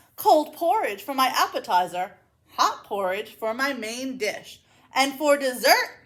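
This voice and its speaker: A woman's put-on character voice, high-pitched, at a fairly slow pace. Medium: read story. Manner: booming, gluttonous.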